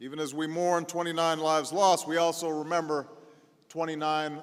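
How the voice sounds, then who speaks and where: A man's fairly high voice with an American accent, monotone, flat intonation and a moderate pace. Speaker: politician, president. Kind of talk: eulogy speech. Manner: solemn, measured.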